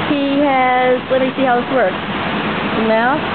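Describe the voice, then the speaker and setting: A woman's very slow speech comes through loud background noise. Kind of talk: casual vlog chat. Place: hall. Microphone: phone near.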